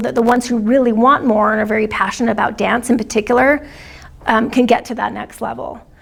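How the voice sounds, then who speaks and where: A woman speaks at a very fast pace in a high pitch. Noticeable background noise runs behind her. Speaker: dance program coordinator. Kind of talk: training discussion. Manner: soft-spoken. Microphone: too quiet, hard to hear.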